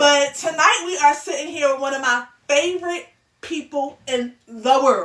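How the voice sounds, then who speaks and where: Loud and high-pitched, a woman talks at a moderate pace with ordinary pitch variation. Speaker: podcast host. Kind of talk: casual chat.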